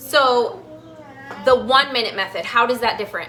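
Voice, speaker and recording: With an animated tone and high pitch, a woman speaks at a moderate pace with ordinary pitch variation over noticeable background noise. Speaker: health coach and cooking show host. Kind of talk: live cooking demonstration.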